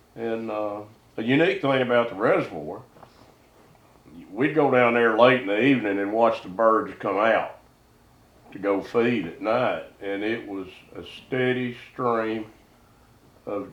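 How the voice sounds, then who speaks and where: A man with a Southern US accent, medium in pitch with ordinary pitch variation, at a fairly slow pace with long, frequent pauses, big swings in loudness and audible room echo. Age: 70s. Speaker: duck hunter. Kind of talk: casual chat.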